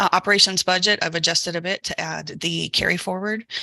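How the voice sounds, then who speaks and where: Dry and close with no echo, a woman's fairly low, bright and sharp voice with vocal fry moves at a fairly quick pace with fairly even intonation. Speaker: council budget officer. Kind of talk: budget report in meeting.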